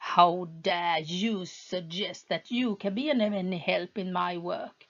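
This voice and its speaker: Hissing runs through this put-on character voice, delivered at a fairly slow pace. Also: woman, medium pitch for a woman. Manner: angry, hissing.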